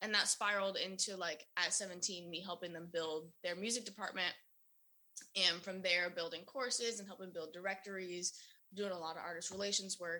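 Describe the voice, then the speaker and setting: In an American accent, a woman talks at a fairly quick pace with a bright, sharp tone, medium pitch, and fairly even intonation. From US South, Sarasota, Florida. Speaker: artist manager. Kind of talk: casual chat.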